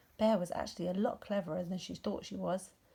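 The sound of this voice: A woman with a fairly low pitch, vocal fry and a dark, mellow tone with a slightly husky edge speaks at a fast pace. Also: fairly even intonation.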